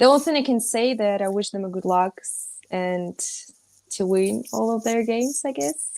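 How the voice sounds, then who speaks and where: A woman with a Russian accent talks at a moderate pace in a fairly high voice, her intonation lively and her loudness swinging widely. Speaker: rugby player. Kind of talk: panel discussion. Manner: halting, searching for English words.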